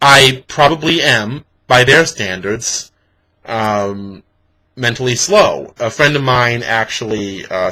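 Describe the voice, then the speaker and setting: At a very slow pace, this voice has a bright, sharp tone and ordinary pitch variation on a very clean recording with a silent background. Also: man. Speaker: vlogger. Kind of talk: casual vlog monologue. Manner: clear with pauses.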